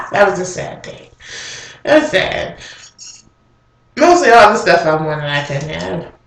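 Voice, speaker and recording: The woman pauses long and often, her loudness swinging widely. Room echo is audible. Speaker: vlogger. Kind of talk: casual chat. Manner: casual, hesitant with fillers.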